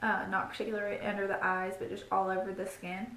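Audible room echo surrounds a woman as she talks. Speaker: beauty vlogger. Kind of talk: product review chat. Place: home room. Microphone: phone near.

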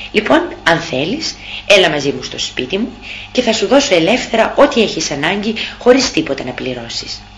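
Over noticeable background noise, a woman talks at a moderate pace. Her loudness shifts a lot, and her pitch swings very widely. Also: medium pitch for a woman. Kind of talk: audiobook narration, reading a classic tale aloud. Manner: measured, storyteller's pace with a dramatic, expressive tone.

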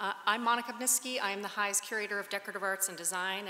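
A woman talks at a very fast pace. Room echo is audible. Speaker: speaker. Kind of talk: formal introduction speech. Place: hall. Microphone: podium.

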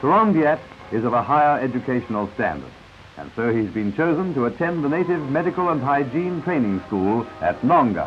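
Against noticeable background noise, a man talks at a fairly quick pace with a fairly high pitch and lively intonation. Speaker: newsreel narrator. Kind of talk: 1950s newsreel narration.

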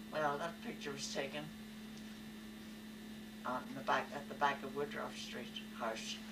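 Against loud background noise, a woman talks at a fairly slow pace with long, frequent pauses. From Belfast. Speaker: elderly family member recalling history. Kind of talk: interview answer. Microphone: old recording.

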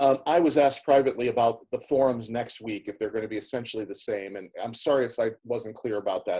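Against a quiet background, a man with a dark, mellow tone talks at a very fast pace with hardly any pauses. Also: ordinary pitch variation. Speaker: forum moderator. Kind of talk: online panel discussion. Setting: video call. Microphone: video call.

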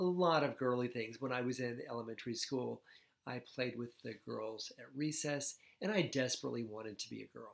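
Against a quiet background, the voice moves at a fairly quick pace with ordinary pitch variation and big swings in loudness. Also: man. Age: 60s. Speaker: psychiatrist; personal storyteller. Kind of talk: vlog monologue. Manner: halting, many fillers. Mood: warm, animated, smiling. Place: home room.

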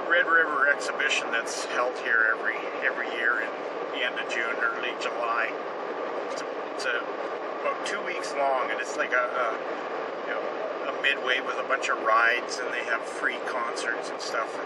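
Loud background noise fills the recording as a man speaks at a moderate pace. He leaves long, frequent pauses. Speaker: vlogger. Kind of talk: casual vlog chat. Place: car. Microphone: phone near.

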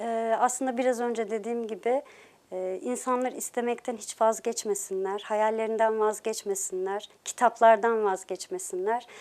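Recorded very cleanly against a silent background, a woman with a fairly high voice speaks at a fairly slow pace with fairly even intonation. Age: 40s. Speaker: novelist. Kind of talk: interview. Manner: hesitant, many filler sounds.

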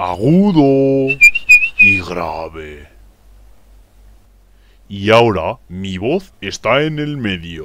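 A cartoonish character voice with big pitch swings and a fairly bright tone, at a very slow pace with long, frequent pauses. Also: man, fairly low pitch for a man.

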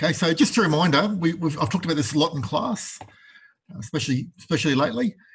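Lively in intonation, a man talks at a very fast pace. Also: quiet background. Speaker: university tutor. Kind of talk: lecture.

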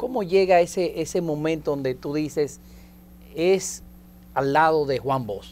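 A man at a fairly slow pace, ordinary pitch variation, and long, frequent pauses. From Dominican Republic. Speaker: TV host. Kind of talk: TV interview. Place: studio. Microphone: lapel.

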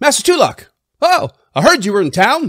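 Delivered at a moderate pace, the put-on character voice leaps through very wide pitch swings. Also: man. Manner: eager, deferential.

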